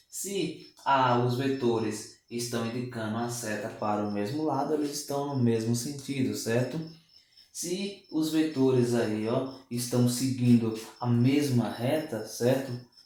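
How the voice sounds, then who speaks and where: A man at a medium pitch with ordinary pitch variation, a very slow pace, audible room echo and noticeable background noise. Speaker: math and physics teacher. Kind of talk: online lesson. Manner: slurs words at times.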